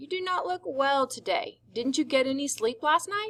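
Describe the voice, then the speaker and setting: A woman puts on a character voice, pitched high and full of very wide pitch swings. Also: moderate pace. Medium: read story. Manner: weak, kindly.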